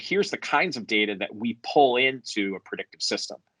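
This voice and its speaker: Against a quiet background, a man with an American accent speaks at a fairly quick pace in a dry, close sound with no echo. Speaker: software company founder and CEO. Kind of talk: conference presentation. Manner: hesitant, frequent fillers.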